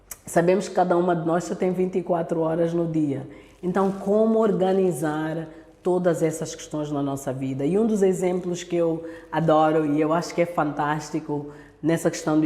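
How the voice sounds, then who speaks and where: With an Angolan accent, a woman speaks at a moderate pace in a fairly low pitch with fairly even intonation, and room echo is audible. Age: 30s. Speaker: speaker at women's church event. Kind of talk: talk to church women's online meeting.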